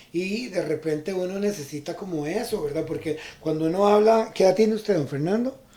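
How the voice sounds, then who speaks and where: There is noticeable background noise. The speaker talks at a fairly quick pace. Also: man, high pitch for a man, ordinary pitch variation. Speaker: radio host and life coach. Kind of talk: radio interview. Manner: animated.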